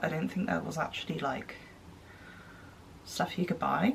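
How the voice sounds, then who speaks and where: A woman talks with a British accent. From United Kingdom. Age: 20s. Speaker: blogger. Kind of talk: casual talk to camera.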